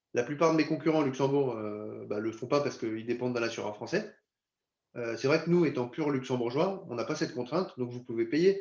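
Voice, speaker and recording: Fairly quick and fairly high in pitch, a man talks with ordinary pitch variation. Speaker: insurance company representative. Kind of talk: webinar presentation. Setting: video conference. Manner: fast.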